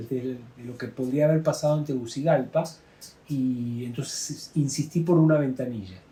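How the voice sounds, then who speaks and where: This somewhat breathy voice has a dark, mellow tone, a moderate pace, ordinary pitch variation and big swings in loudness. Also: man. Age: 60s. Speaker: plane crash survivor, former UN worker. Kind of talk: testimony. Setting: drinking wine in Santiago. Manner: halting, many fillers.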